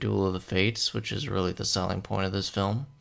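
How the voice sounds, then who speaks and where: A soft-spoken man at a fairly low pitch, with fairly even intonation and a moderate pace, in a very clean recording with a silent background. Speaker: movie reviewer. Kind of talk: movie review monologue. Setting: at home late at night. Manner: quiet, soft-spoken.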